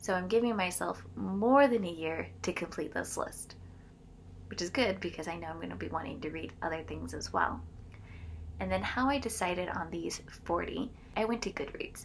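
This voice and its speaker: A woman at a moderate pace, over light background noise. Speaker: book vlogger. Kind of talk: casual vlog chat. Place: home room. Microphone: phone near.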